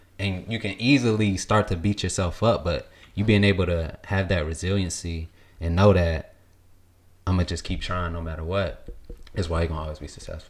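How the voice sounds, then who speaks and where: A man speaks at a fairly quick pace with a very deep, low pitch and fairly even intonation, sounding somewhat breathy. The recording is very clean with a silent background. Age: 20s. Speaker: podcast host. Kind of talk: casual chat.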